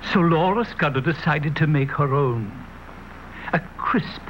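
The speech moves at a fairly slow pace. Noticeable background noise runs behind it. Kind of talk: TV commercial read.

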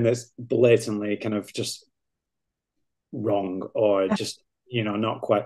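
The speaker is a man. He talks in a Lancashire accent. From northern England, Lancashire near Manchester. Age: 30s. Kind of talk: casual chat. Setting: video call.

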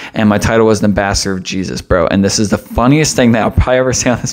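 Against a quiet background, a man with an American accent speaks very fast at a fairly low pitch with ordinary pitch variation. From Pennsylvania, US. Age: 20s. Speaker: podcast host. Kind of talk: casual monologue. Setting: home studio with mic stand. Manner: animated. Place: home room. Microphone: studio mic.

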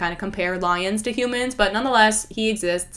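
Over noticeable background noise, a woman talks very fast at a medium pitch with ordinary pitch variation. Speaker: YouTuber. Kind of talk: casual monologue video. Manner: talkative, animated.

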